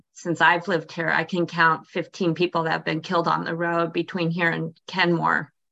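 A woman with a fairly low pitch speaks at a moderate pace in a flat monotone, her bright, sharp tone edged with vocal fry. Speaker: park board member. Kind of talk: public meeting discussion. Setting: video call.

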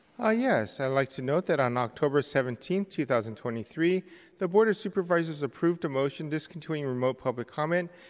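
Against a quiet background, a man speaks in an ordinary speaking voice with ordinary pitch variation. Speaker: committee clerk. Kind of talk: reading announcements. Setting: city hall hearing room.

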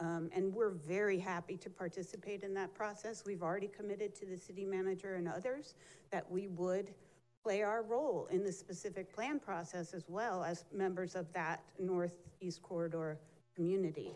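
A woman's medium-pitched voice at a moderate pace, with fairly even intonation and an ordinary speaking voice. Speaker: energy company representative. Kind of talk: public comment presentation to council.

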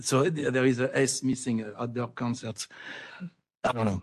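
A man at a medium pitch and a moderate pace, with a French accent. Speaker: artist, public commenter. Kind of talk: public comment. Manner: halting.

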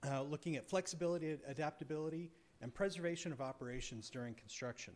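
A man talks at a fairly quick pace. His intonation is lively. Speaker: architect presenting project design. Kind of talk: formal presentation.

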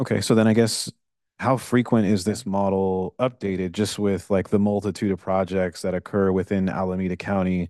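A man speaks at a moderate pace with a fairly low pitch and a dark, mellow tone, his intonation monotone and flat. The sound is dry and close with no echo, over a quiet background. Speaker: vice chair of planning commission. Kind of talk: formal public meeting discussion. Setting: public meeting hall.

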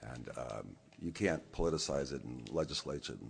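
This is a man talking. His voice has vocal fry. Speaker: public commenter. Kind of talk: public comment. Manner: rambling.

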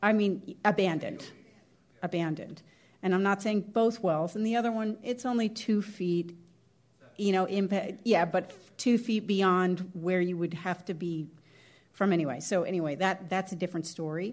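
A woman with a plain, everyday voice, medium pitch, ordinary pitch variation and a moderate pace, quiet background. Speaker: planning commissioner. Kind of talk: formal public meeting.

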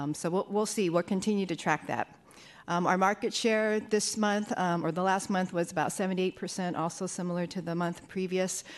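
Her pace moderate and her intonation fairly even, a woman speaks in a plain, everyday voice at a medium pitch. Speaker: fire department deputy chief, EMS. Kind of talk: formal report to a commission.

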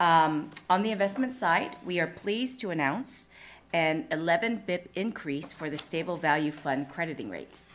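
This woman has a normal speaking voice with a fairly low pitch. She talks at a moderate pace with lively intonation. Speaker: deferred compensation plan manager. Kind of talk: presentation. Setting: public board meeting.

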